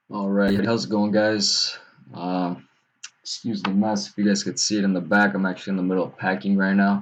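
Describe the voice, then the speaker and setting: Quietly and at a fairly quick pace, a man speaks in a fairly low pitch with monotone, flat intonation. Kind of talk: casual video talk. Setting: at home, late at night. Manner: quiet, held back; halting, many fillers.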